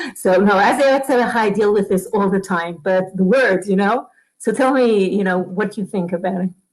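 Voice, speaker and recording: A woman with an Israeli accent, medium pitch, ordinary pitch variation and a moderate pace. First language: Hebrew. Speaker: Torah teacher. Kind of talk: conversational webinar discussion. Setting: online webinar studio. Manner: halting, stuttering.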